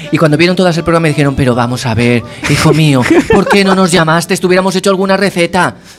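Speaking very fast over noticeable background noise, the voice keeps a very even loudness with ordinary pitch variation. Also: man, high pitch for a man. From Castellón, Spain. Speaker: musician. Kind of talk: interview. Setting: studio.

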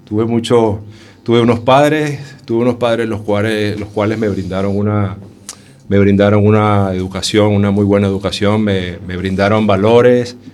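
Speaking at a moderate pace, a man with a fairly low pitch keeps his intonation fairly even. Noticeable background noise and audible room echo fill the recording. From Venezuela, Caracas. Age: 40s. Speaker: homeless shelter resident. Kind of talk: radio interview. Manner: halting.

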